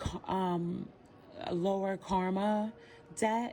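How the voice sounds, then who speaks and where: A soft-spoken woman at medium pitch with fairly even intonation. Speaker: tarot reader. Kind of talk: tarot reading.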